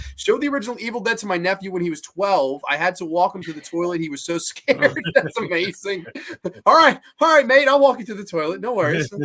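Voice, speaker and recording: A man with an American accent speaks very fast in a raised, projected voice, high in pitch with a bright, sharp tone. His pitch swings very widely and his loudness rises and falls sharply. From Massachusetts, Salem. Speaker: horror podcast host. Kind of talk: casual chat, reading live comments. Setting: live stream.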